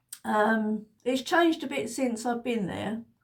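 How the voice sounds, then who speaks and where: The speech comes at a fairly slow pace and sounds somewhat breathy. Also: woman. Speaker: lifestyle vlogger. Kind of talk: casual chat. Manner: halting.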